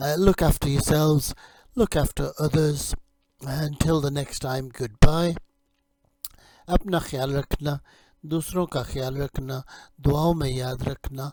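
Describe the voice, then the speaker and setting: A man's somewhat breathy, dark, mellow voice at a fairly high pitch, very slow, with fairly even intonation and long, frequent pauses. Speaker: English teacher. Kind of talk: lecture. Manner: hesitant, many fillers.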